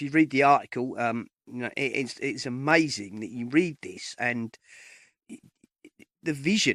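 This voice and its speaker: On a very clean recording with a silent background and a dry, close sound with no echo, a man with an English accent speaks with ordinary pitch variation. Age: 50s. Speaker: podcast host. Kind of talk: interview conversation. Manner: halting, many fillers.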